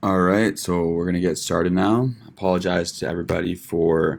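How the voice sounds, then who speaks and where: A man with a Western Canadian accent speaks at a very deep, low pitch with fairly even intonation. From Vancouver, Canada. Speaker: medical student. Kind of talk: informal student presentation. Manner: casual, hesitant.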